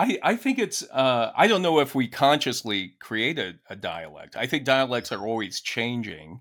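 A man speaks with hardly any pauses, his pitch swinging very widely over a creaky vocal fry. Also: medium pitch for a man, moderate pace. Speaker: podcast co-host. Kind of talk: casual conversation.

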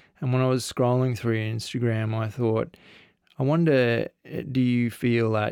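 Fairly even intonation marks this man's speech. He talks in an Australian accent. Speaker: podcast host. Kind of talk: podcast intro monologue; casual interview.

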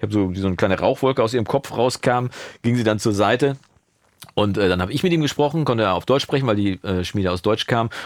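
Very fast pace from a man with a medium pitch. His loudness is very even, and his pitch variation is ordinary. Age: 50s. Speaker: podcast host and recording educator. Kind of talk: casual chat. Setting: studio.

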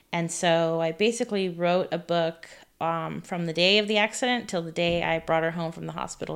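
With an ordinary speaking voice, a woman with an American accent speaks at a moderate pace in a fairly low pitch and fairly even intonation, on a very clean recording with a silent background. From California. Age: 40s. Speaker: author. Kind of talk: interview.

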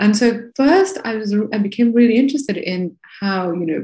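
A woman speaks with very wide swings in pitch. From Russia, Moscow. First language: Russian. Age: 30s. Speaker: tech educator and entrepreneur. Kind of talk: interview.

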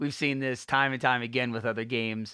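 Using a normal speaking voice, a man keeps his medium pitch fairly even in intonation. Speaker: podcast co-host. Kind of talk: casual chat.

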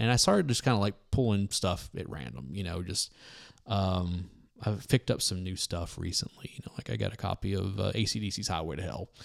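Speaking at a fairly quick pace, a man uses an ordinary speaking voice with fairly low pitch and ordinary pitch variation. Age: 40s. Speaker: podcast co-host. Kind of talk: casual chat.

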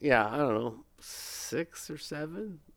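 A man with a fairly high voice is heard on a very clean recording with a silent background. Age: 40s. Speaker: musician. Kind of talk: casual chat.

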